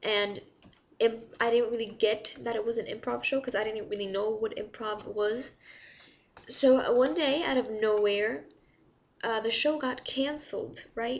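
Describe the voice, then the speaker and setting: A moderate pace with ordinary pitch variation. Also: woman, fairly high pitch for a woman. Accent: non-native. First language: not English. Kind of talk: casual talk to camera. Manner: hesitant, rambling.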